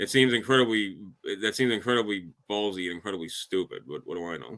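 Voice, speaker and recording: A man talks very fast in a strong Chicago accent, his fairly low voice bright and sharp in tone, with ordinary pitch variation. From Chicago area, US Midwest. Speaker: podcast guest. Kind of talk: casual chat. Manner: halting, many fillers.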